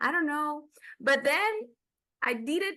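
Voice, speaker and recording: Bright and sharp in tone, a woman with a Dominican accent speaks with very wide pitch swings. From Dominican Republic. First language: Spanish. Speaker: film and TV reviewer. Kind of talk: casual chat. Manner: halting.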